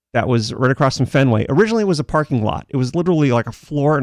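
Against a quiet background, a man talks at a very fast pace. He has an American accent. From Central Massachusetts (Worcester, Millbury). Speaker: tech commentator. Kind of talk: casual chat.

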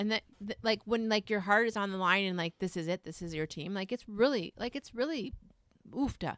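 Loud and fairly quick, the voice has a bright, sharp tone and lively intonation, recorded dry and close with no echo. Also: woman. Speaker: podcast co-host. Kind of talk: casual chat. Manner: loud, excitable.

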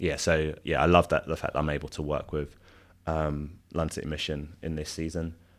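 A man with a London accent speaks at a moderate pace in a very deep, low voice, his intonation flat and monotone, on a very clean recording with a silent background. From South London. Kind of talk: interview conversation. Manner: hesitant, many filler ums.

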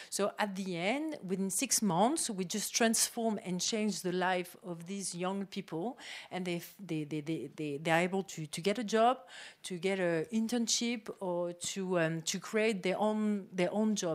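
A woman of medium pitch with a French accent, at a fairly slow pace. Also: ordinary pitch variation. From France. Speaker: tech incubator co-founder. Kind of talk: panel discussion.

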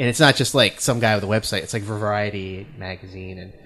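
A man with a New England accent at a fairly quick pace, fairly low in pitch, with fairly even intonation, big swings in loudness and music in the background. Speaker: podcast host.

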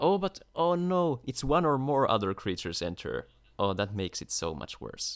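The recording is very clean with a silent background as a man talks at a moderate pace. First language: not English. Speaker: podcast co-host. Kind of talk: casual chat.

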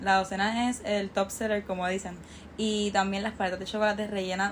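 With monotone, flat intonation, a woman speaks at a medium pitch. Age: 20s. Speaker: university student and small business owner. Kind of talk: interview.

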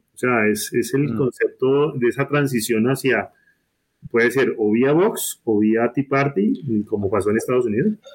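Very even in loudness, a man speaks at a moderate pace and medium pitch with ordinary pitch variation. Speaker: university professor. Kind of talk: political discussion. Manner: halting, many repetitions.

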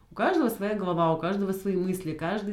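A woman's medium-pitched voice amid noticeable background noise. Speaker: podcast co-host. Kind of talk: casual chat. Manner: animated.

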